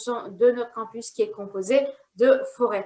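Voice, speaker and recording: The woman's voice sits high in pitch. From outside Canada. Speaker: university recruitment officer. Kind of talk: promotional presentation.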